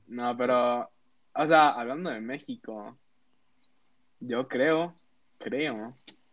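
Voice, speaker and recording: The man talks very slowly. His speech is broken by long, frequent pauses. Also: medium pitch for a man, ordinary pitch variation. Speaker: podcast co-host, student. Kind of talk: casual chat.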